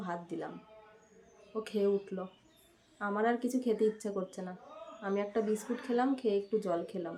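Noticeable background noise behind a woman's fairly high voice with fairly even intonation. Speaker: vlogger, homemaker. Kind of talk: casual vlog narration.

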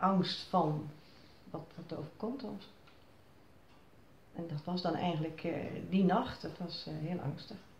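Against light background noise and audible room echo, a woman speaks at a fairly slow pace. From Zierikzee, Zeeland, Netherlands. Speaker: flood survivor. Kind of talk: interview answer. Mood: reflective, recalling fear. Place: home room. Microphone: phone near.

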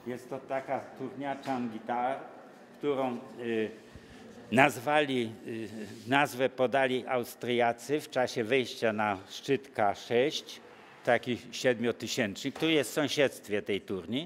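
Light background noise sits behind a man speaking very slowly. His medium-pitched voice has fairly even intonation. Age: 80s+. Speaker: mountain cartographer; interviewee. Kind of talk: interview. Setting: travel festival. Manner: halting. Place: shop.

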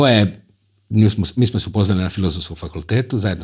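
Over a quiet background, a man speaks at a very fast pace. His voice is somewhat breathy, with ordinary pitch variation. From Croatia, Rijeka; Croatia. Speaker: TV host and concert hall director; TV host. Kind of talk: casual interview. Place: studio. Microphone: lapel.

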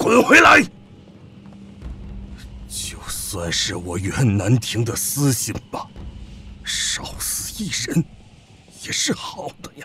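Using a raspy, put-on character voice, a man speaks at a very slow pace with long, frequent pauses.

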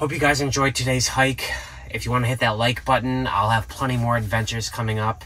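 A man talks at a fairly quick pace with a bright, sharp tone. His pitch sits at medium and shows little movement.

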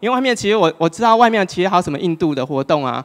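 The setting is quiet in the background. A man does the talking. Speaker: speaker. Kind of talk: public talk. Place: hall. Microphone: handheld.

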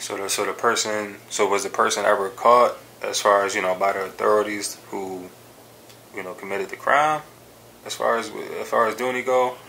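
Here is an unremarkable speaking voice: a man with an American accent, fairly low in pitch. He keeps a moderate pace and fairly even intonation over light background noise. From US East Coast. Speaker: hip hop interviewer. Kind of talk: casual interview. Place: studio. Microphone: studio mic.

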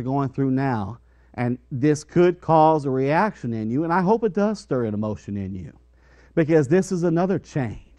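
Over a quiet background, a man speaks at a moderate pace in a dark, mellow tone. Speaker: preacher. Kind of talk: sermon. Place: church.

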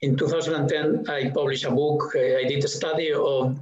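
A man's fairly high-pitched voice with fairly even intonation and audible room echo. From Spain. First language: Spanish. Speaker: museum director. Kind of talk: interview conversation. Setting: video call. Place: home room. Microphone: headset.

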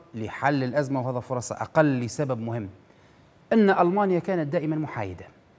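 A man's fairly high voice with lively intonation. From Libya. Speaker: TV news show host. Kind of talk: political commentary monologue. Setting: TV studio, live. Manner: animated. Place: studio. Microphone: lapel.

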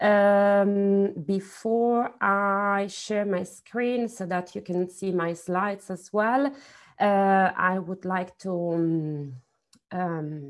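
A woman at a very slow pace, with ordinary pitch variation, against a quiet background. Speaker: university lecturer. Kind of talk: lecture. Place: home room. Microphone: earbuds.

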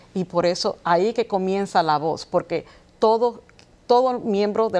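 Fairly slow pace with ordinary pitch variation. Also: woman. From New York, Dominican roots. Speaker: chemist and political candidate; candidate. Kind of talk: TV interview. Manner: halting. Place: studio. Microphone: lapel.

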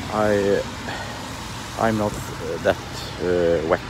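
Over noticeable background noise, the speech comes very slowly with a dry sound and no echo. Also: man. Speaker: motorcycle traveller vlogger. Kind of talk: casual vlog chat. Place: street. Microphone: phone near.

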